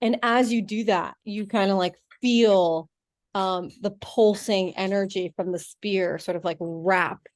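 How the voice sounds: Someone reads in a natural reading voice. Nothing intrudes from the quiet background.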